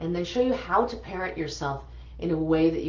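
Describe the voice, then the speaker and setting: A woman with an animated tone, plus audible room echo and noticeable background noise. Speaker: energy healer. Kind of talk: guided healing session.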